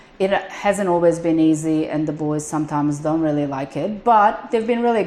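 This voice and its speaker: A woman with a non-native accent, lively intonation and a moderate pace. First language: not English. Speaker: business manager and accountant. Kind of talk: shop tour.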